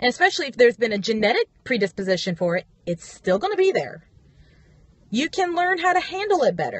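A woman speaks in a high voice at a moderate pace. The sound is dry, with no echo. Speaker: vlogger. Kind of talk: casual vlog chat. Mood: frustrated, emphatic. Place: car. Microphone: phone near.

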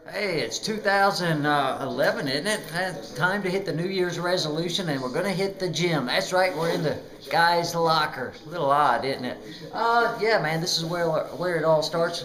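High-pitched male voice at a moderate pace, ordinary pitch variation, noticeable background noise. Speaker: vlogger. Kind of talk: casual vlog chat. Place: gym. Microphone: phone near.

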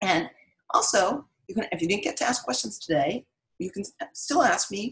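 Quiet surroundings and a natural reading voice

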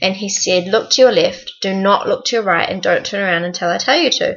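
A woman is talking. Her pace is fairly quick. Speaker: vlogger on work exchange program. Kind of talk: casual vlog chat. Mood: excited, storytelling. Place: home room. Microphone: webcam.

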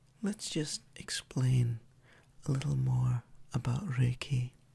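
Soft-spoken and calm in tone, a man speaks. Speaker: Reiki practitioner and ASMR creator. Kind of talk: ASMR relaxation introduction. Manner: soft-spoken, calm, slow. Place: home room.

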